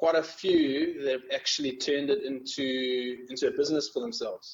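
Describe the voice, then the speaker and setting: A man with a South African accent speaks at a moderate pace. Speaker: magazine editor. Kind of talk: interview.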